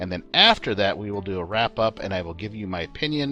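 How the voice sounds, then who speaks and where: A man's fairly low voice at a fairly quick pace, with ordinary pitch variation and music in the background. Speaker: video game mod reviewer. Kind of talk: game review narration.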